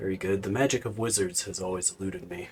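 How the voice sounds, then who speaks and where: In a put-on character voice, a man speaks very fast with a raspy, fairly low pitch. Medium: actual play.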